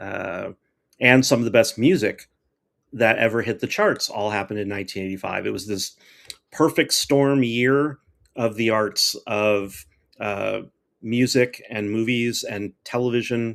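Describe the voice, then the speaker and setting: A man talks at medium pitch with ordinary pitch variation, captured in a very clean recording against a silent background. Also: fairly slow pace. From Florida, US South. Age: 50s. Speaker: livestream host. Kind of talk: casual chat. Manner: animated.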